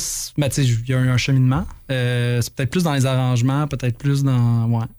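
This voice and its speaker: Fairly even intonation on a very clean recording with a silent background. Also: man. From Quebec, Saint-Hubert (Montreal South Shore). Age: 30s. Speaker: rock musician. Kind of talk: interview. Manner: halting.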